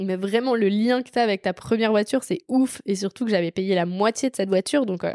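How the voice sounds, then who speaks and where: A woman talks at a fairly quick pace and a medium pitch in a dark, mellow tone with ordinary pitch variation. The recording is very clean and dry, with a silent background and a close sound with no echo. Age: 20s. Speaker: podcast host. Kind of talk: casual chat. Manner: animated.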